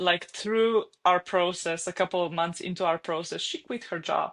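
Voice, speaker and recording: Speaking at a moderate pace with a Slovenian accent, a woman uses a medium pitch and fairly even intonation against a quiet background. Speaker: online fitness coach. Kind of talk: podcast interview.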